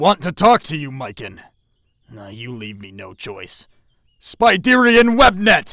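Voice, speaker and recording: Putting on a character voice, a man speaks fairly slowly at a fairly high pitch, with very wide pitch swings. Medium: audio drama. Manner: firm, serious.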